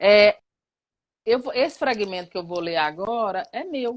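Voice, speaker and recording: A woman speaks in a fairly high voice. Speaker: professor and activist. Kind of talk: live talk. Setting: online live stream.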